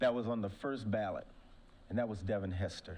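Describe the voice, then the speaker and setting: A man with a medium pitch speaks in an American accent amid audible room echo. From Ohio. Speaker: former pro football player, award speaker. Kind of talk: award speech.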